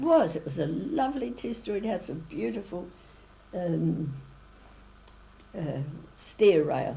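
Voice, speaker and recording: A woman with a New Zealand accent speaks at a very slow pace in a fairly low pitch, making very wide pitch swings and long, frequent pauses. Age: 80s+. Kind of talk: interview answer.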